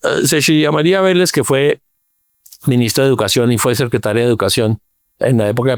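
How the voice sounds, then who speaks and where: The recording is very clean, with a silent background and a dry, close sound that has no echo. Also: man. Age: 70s. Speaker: urban planner. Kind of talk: interview. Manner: halting, many fillers and repeats.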